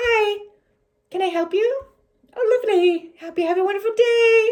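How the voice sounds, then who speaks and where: This is a put-on character voice pitched extremely high. It moves at a moderate pace. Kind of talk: polite, service-like. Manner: fake cheerful, saccharine.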